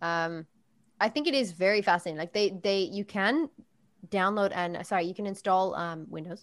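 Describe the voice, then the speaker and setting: An unremarkable speaking voice from a woman, medium in pitch, with ordinary pitch variation at a moderate pace. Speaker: podcast host. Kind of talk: casual chat.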